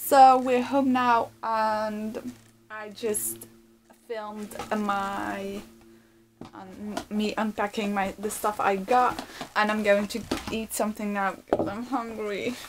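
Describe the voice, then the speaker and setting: With a non-native accent, a woman speaks very slowly in a monotone, flat intonation, with long, frequent pauses, big swings in loudness, and noticeable background noise. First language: not English. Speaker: vegan lifestyle vlogger. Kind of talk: casual talk to camera. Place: home room. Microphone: phone near.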